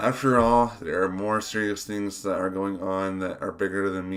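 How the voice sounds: Fairly even intonation in a natural reading voice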